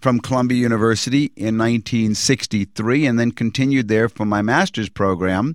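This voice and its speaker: On a very clean recording with a silent background, a man with an American accent speaks at a moderate pace, the sound dry and close with no echo. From Virginia (Norfolk). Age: 60s. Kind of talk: testimony. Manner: measured, with frequent hesitations.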